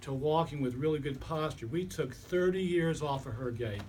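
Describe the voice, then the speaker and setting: Against audible room echo, a somewhat breathy man with a fairly high pitch speaks at a moderate pace with ordinary pitch variation. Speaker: chiropractor and body worker. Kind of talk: lecture.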